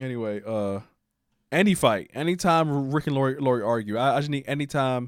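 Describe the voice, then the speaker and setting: A man at a medium pitch and fairly quick pace with ordinary pitch variation, in a very clean recording with a silent background. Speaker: streamer and video reviewer. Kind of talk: casual livestream chat. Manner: fast.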